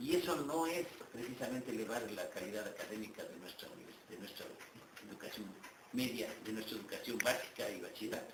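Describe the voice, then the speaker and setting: Amid noticeable background noise and audible room echo, a man talks at a fairly quick pace with big swings in loudness. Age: 60s. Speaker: university rector and professor. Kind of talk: interview.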